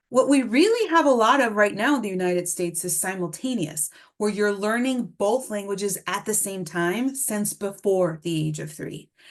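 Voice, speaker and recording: A woman with a Spanish accent speaks at a moderate pace and a medium pitch, with hardly any pauses. Her intonation is lively, and the background is quiet. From Mexico City, then US from age nine. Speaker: speech-language pathologist presenter. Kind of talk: webinar lecture.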